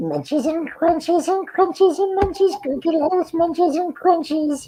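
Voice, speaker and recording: A put-on character voice at an extremely high pitch moves along at a moderate pace. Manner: whiny, eager.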